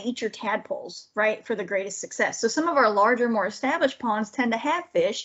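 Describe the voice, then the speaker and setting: Talking at a very fast pace with hardly any pauses, a woman with a strong Southern US accent uses a high pitch and lively intonation. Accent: thick Southern. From Georgia. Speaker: wildlife biologist. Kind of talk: lecture. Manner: animated.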